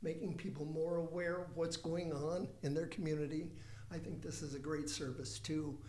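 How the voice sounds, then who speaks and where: Over noticeable background noise and audible room echo, a man talks at a moderate pace with a fairly high pitch. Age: 70s. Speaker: playwright. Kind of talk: casual interview chat. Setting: studio.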